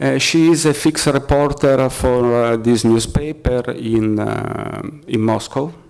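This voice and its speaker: Over noticeable background noise, a man speaks with an Italian accent at a medium pitch. His pace is fairly slow and his intonation fairly even. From Italy. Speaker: freelance journalist and activist. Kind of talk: press conference talk. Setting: press conference. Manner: halting, many fillers.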